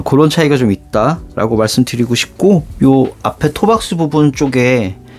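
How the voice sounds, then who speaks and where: Fairly high male voice over music in the background. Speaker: shoe reviewer YouTuber. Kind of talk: product unboxing review.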